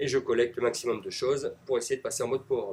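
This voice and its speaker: A man with a northern French accent talks at a medium pitch with ordinary pitch variation. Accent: Ch'ti (northern French). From northern France (Nord-Pas-de-Calais). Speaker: gaming commentator. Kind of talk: live gameplay commentary. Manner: casual, hesitant with frequent fillers.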